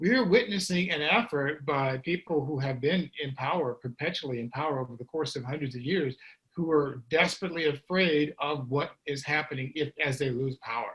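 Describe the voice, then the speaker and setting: A man's bright, sharp tone at a fairly high pitch. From US Midwest, St. Louis, Missouri. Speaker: author and guest speaker. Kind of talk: panel discussion. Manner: fast; halting, many fillers and restarts.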